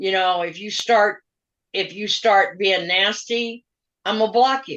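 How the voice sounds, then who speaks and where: A woman with an American accent speaks in a plain, everyday voice at medium pitch, with fairly even intonation and big swings in loudness. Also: fairly slow pace. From US Pacific Northwest. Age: 60s. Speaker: retired pro wrestler. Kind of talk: interview.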